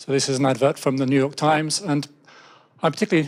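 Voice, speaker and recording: A fairly high-pitched man with an English accent, very fast pace and fairly even intonation. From England. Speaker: software developer. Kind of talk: conference talk. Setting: stage with audience. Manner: hesitant with fillers.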